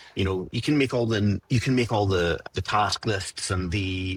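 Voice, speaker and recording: A man's somewhat breathy, fairly low voice with ordinary pitch variation, in a dry, close sound with no echo. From Scotland. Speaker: software developer. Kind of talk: podcast interview. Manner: casual, conversational.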